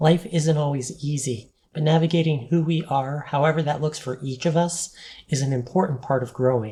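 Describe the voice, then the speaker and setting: The voice has a dark, mellow tone and is somewhat breathy. It moves at a moderate pace with ordinary pitch variation. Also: woman, very deep, low pitch for a woman. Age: 40s. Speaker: vlogger. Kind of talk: personal vlog monologue. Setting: on camera, home video.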